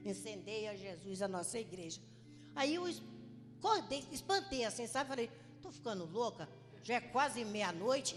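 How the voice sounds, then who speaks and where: Lively intonation runs through this woman's speech. Her pitch is fairly high and her pace moderate. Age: 60s. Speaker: congregation member. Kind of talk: testimony. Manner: halting.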